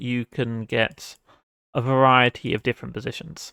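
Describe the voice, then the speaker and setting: In a British accent, a man speaks at medium pitch, the sound dry and close with no echo. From Britain. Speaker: game developer streamer. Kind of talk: live dev stream thinking aloud. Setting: live stream. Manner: casual, hesitant with fillers.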